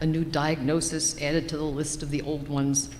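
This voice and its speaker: In a room with audible echo, a woman speaks at a fairly slow pace with a very deep, low pitch. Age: 70s. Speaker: church member giving a personal reflection. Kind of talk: personal reflection read in a worship service. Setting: church service.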